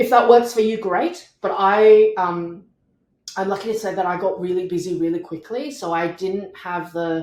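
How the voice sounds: With audible room echo, a woman speaks at a moderate pace in a fairly low voice, using ordinary pitch variation and a slightly mellow tone.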